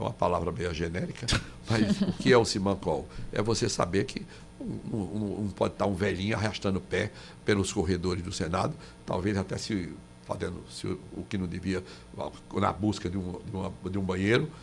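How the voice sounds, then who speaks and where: A man speaks at a moderate pace in a very deep, low voice. His delivery is somewhat breathy. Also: ordinary pitch variation. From Paraíba, Brazil. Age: 80s+. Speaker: former senator. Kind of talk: radio interview. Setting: radio studio. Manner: halting, many restarts.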